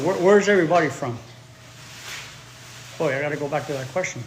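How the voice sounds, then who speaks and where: Over noticeable background noise and audible room echo, a man talks at a very fast pace. His pitch is fairly high with ordinary variation. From Chicago, US Midwest. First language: Spanish. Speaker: English teacher. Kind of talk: live-stream language lesson.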